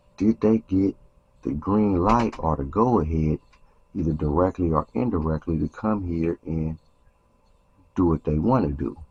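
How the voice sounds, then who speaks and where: This man speaks at a moderate pace in a very deep, low pitch, somewhat breathy, with ordinary pitch variation and long, frequent pauses. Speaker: YouTube commentator on street and prison topics. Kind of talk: casual commentary monologue.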